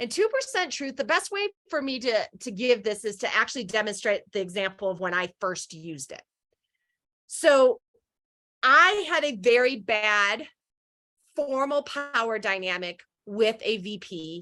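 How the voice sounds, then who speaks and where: Fairly high-pitched and animated, a woman speaks at a fairly slow pace with long, frequent pauses, a bright, sharp tone, very wide pitch swings and big swings in loudness. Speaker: leadership coach and conference speaker. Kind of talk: presentation talk.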